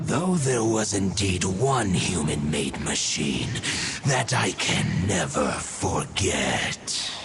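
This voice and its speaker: Over loud background noise, a man uses a put-on character voice at a fairly low pitch and a very slow pace. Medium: game stream. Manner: solemn, formal, archaic.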